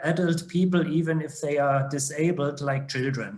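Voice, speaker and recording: In a German accent, a man speaks at a fairly high pitch with fairly even intonation. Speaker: judge. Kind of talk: online seminar presentation. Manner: halting, many fillers.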